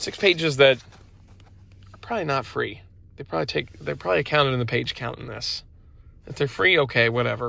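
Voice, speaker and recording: Talking at a fairly quick pace with long, frequent pauses, a man uses vocal fry and shows big swings in loudness. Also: medium pitch for a man, lively intonation. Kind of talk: casual product review. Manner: casual, filler-heavy.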